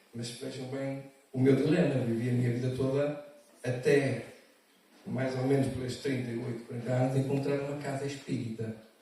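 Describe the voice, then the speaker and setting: A man's monotone, flat voice at a medium pitch and moderate pace, with audible room echo and noticeable background noise. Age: 60s. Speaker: panel speaker sharing lived experience. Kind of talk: testimony. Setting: conference panel with audience. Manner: halting.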